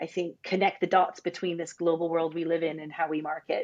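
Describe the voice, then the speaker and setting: A woman speaks with an American accent at a very fast pace. Her pitch is fairly low. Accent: American, noticeable despite UK residence. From US Northeast, New Jersey. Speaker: global marketing leader. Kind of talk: podcast interview.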